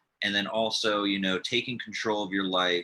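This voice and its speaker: A man's fairly low voice with a bright, sharp tone, ordinary pitch variation and a moderate pace. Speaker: cancer charity founder and interview host; nutritionist, cancer survivor. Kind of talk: interview host talk.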